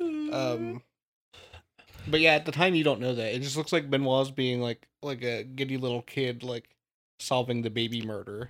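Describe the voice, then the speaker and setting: Speaking at a moderate pace in a normal speaking voice, a man keeps a medium pitch and fairly even intonation. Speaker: podcast host. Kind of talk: casual chat. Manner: casual, joking.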